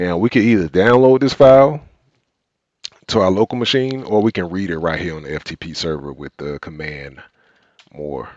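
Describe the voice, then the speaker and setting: A man with a strong Southern US accent and a very deep, low pitch, very wide pitch swings, big swings in loudness, a moderate pace, long, frequent pauses, and a dry, close sound with no echo. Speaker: cybersecurity instructor. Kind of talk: live tutorial.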